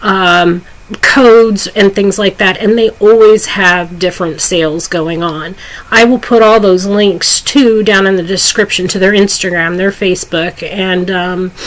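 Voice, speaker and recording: Noticeable background noise sits behind a woman speaking at a fairly slow pace. Her pitch is medium and her intonation fairly even. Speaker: vape product reviewer. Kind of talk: product review. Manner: casual, many fillers (um).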